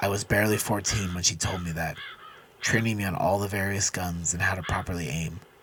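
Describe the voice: Fairly even intonation in plain reading aloud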